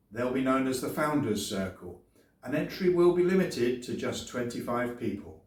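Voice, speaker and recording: Here a man talks with an English accent at a medium pitch. His pitch swings very widely. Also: moderate pace. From England. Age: 60s. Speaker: YouTuber and former English teacher. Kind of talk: sales pitch.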